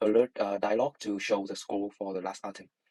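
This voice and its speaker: Speaking with a Vietnamese accent, a man uses a fairly low pitch and fairly even intonation, recorded with a dry, close sound and no echo. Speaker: student. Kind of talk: tutorial. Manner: halting, many fillers.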